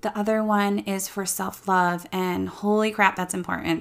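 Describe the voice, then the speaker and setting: Here is a woman with a normal speaking voice at medium pitch, with fairly even intonation. She talks at a moderate pace on a very clean recording with a silent background. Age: 30s. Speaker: podcast host and hair stylist, salon co-owner. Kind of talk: solo podcast monologue. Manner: casual, chatty.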